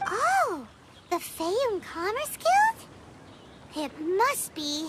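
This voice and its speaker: An extremely high-pitched, put-on character voice talks at a very slow pace. Loud background noise fills the recording. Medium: video game. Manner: chirpy, curious.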